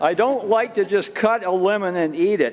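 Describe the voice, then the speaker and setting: There is noticeable background noise in this clip. A man talks at a rather slow speed. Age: 70s. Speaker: minister. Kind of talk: casual chat. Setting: church. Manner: halting.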